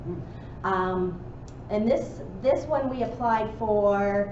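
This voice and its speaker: A woman is speaking, and noticeable background noise can be heard. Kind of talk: meeting announcements. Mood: friendly, informal. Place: hall. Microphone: camera far.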